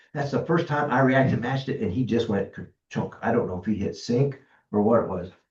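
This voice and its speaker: A man's medium-pitched, somewhat breathy voice at a fairly quick pace, with lively intonation. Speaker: glider pilot giving safety talk. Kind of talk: club meeting presentation.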